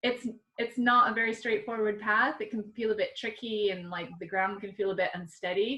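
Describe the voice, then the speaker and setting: Fairly high in pitch with a bright, sharp tone, a woman speaks with an American accent and fairly even intonation. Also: moderate pace. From US Midwest, Nebraska. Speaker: artist and art teacher. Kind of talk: panel talk over video call. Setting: video call from home. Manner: hesitant, many fillers.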